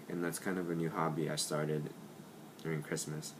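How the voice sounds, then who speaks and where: Noticeable background noise surrounds a man whose very deep, low pitch stays monotone and flat. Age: 20s. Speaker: student who stutters. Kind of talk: personal video introduction. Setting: home kitchen at night. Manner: quiet, late at night.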